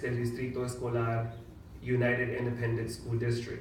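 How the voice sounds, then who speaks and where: A man with an American accent, amid audible room echo and noticeable background noise. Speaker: mayor. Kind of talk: reading aloud; public speech.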